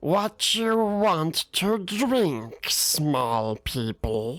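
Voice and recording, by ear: With music in the background, a put-on character voice at a middle pitch moves very slowly through very wide pitch swings.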